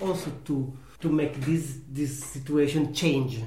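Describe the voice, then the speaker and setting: A man's fairly high voice in an Italian accent at a very slow pace, fairly even in intonation, with audible room echo and noticeable background noise. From Italy. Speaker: pasta maker, farm worker. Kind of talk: interview. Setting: at home. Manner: halting.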